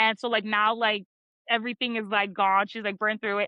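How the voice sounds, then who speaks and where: Her pitch fairly high, a woman talks at a very fast pace. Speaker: podcast host. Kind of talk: casual chat.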